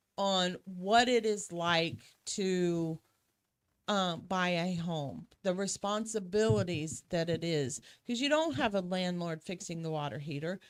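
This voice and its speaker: In a very clean recording with a silent background, a woman with an unremarkable speaking voice talks at a fairly slow pace, fairly low in pitch, with lively intonation. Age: 60s. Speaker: real estate agent. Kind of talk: casual chat.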